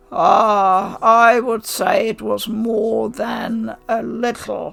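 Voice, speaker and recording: A woman performs a put-on character voice that sounds raspy and fairly high. She delivers it at a very slow pace. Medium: read story. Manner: warm, measured.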